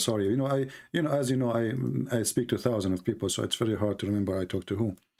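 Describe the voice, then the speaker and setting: The pace is very fast, in an Arabic accent. Loudness stays very even, and pitch varies in an ordinary way. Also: man. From Yemen. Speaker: religious debate streamer. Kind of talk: call-in debate. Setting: Skype call.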